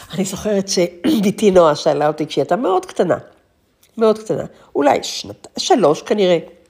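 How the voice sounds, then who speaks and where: A woman's dark, mellow voice at medium pitch, with lively intonation and a fairly quick pace. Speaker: podcast host. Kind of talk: monologue. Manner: reflective.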